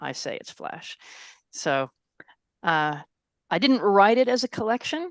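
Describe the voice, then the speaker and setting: A woman speaks with an American accent at a fairly slow pace. Her pitch varies in an ordinary way against a quiet background. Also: dry, close sound with no echo. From US Northeast, Connecticut and Texas. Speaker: author. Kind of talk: casual chat. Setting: video call.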